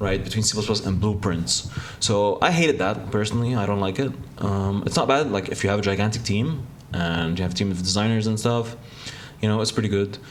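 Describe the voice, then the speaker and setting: A man talks at a fairly quick pace with a fairly low pitch, ordinary pitch variation and very even loudness, amid noticeable background noise and audible room echo. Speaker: game developer. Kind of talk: casual devlog narration. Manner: fast; hesitant, many fillers.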